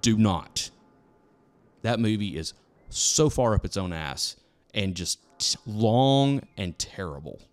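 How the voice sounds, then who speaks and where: At fairly low pitch, a man talks very slowly with lively intonation and long, frequent pauses. Music sits in the background. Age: 40s. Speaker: podcast host. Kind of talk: casual chat.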